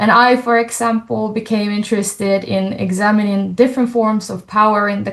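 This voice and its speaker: Her intonation monotone and flat, a woman of medium pitch speaks at a moderate pace. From Finland. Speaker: doctoral researcher and roundtable facilitator. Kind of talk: panel moderation.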